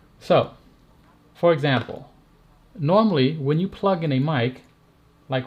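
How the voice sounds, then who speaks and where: With ordinary pitch variation, this man sounds somewhat breathy. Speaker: tech reviewer and streamer. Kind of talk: live stream tutorial. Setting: live stream. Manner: animated.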